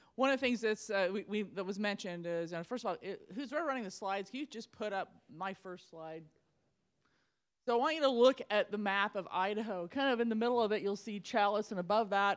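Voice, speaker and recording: At a fairly quick pace, a woman of medium pitch talks with ordinary pitch variation. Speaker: state parks director. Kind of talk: panel discussion. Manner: fast.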